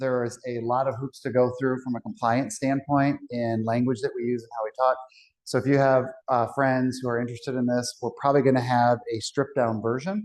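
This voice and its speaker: Here a man with an ordinary speaking voice and a medium pitch talks at a fairly quick pace with fairly even intonation. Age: 40s. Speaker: financial advisor. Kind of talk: seminar presentation to live audience.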